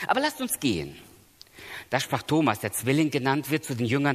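Speaking at a moderate pace and medium pitch, a man's voice shows vocal fry. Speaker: preacher. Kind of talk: sermon. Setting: church seminar with audience. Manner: earnest, emphatic.

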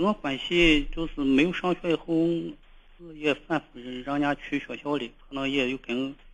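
Using fairly even intonation, a man speaks at a fairly slow pace with hardly any pauses. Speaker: caller, father of a teenager. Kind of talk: phone-in consultation. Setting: phone call. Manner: halting; quiet.

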